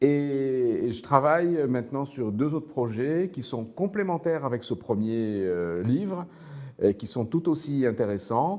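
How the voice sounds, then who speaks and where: Against a quiet background, a man with a medium-pitched voice and lively intonation talks at a fairly slow pace. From Morocco, Casablanca. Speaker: author and teacher. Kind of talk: interview. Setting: studio. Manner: hesitant, repeats words.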